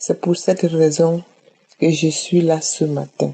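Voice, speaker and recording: Her pitch fairly low, a woman talks at a very slow pace. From Cameroon. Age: 60s. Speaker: testimony giver. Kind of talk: testimony.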